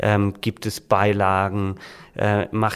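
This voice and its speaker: A man's fairly low, monotone, flat voice at a very slow pace, in a very clean recording with a silent background. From Swabia, Germany (Reutlingen). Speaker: book publisher and author. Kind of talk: casual interview.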